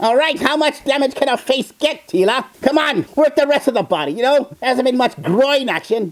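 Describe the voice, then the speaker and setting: This is a put-on character voice pitched high. It moves at a moderate pace. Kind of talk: character reaction video commentary. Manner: sarcastic, mocking.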